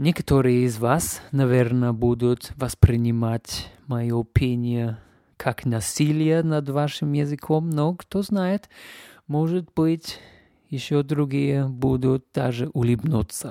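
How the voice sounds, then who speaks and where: A man's medium-pitched voice with a non-native accent, very slow pace and ordinary pitch variation, dark and mellow in tone, dry and close with no echo, in a very clean recording against a silent background. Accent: foreign accent in Russian. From Canada. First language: English (speaking Russian). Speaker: podcast host. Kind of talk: casual monologue. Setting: home.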